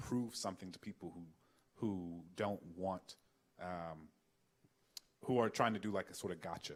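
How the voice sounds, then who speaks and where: A man is talking. He keeps a moderate pace. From US South, New Orleans. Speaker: author and scholar. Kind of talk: Q&A at a public talk. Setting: auditorium with audience.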